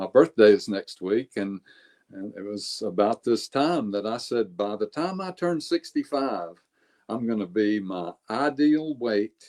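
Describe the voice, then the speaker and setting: A plain, everyday voice at a fairly slow pace with ordinary pitch variation. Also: man, dry, close sound with no echo. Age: 60s. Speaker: life longevity coach. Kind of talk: interview.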